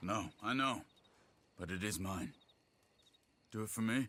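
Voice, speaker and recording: Putting on a character voice with a calm tone, a man speaks at a fairly low pitch and a moderate pace with ordinary pitch variation. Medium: video game. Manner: calm, earnest.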